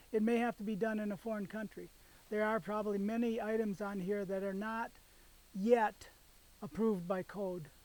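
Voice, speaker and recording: At a moderate pace, a man speaks in a high pitch with fairly even intonation. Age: 70s. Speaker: engineer and homestead builder. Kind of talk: explanatory video presentation. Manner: halting.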